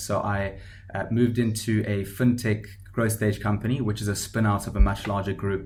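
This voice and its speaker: In a room with audible echo, a somewhat breathy man with a South African accent speaks in a flat monotone at a fairly low pitch. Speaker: startup founder. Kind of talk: podcast interview. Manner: hesitant with fillers.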